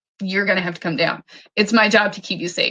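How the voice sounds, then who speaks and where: Using a put-on character voice, a woman speaks very fast in a raspy tone at a medium pitch with fairly even intonation. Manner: firm, authoritative.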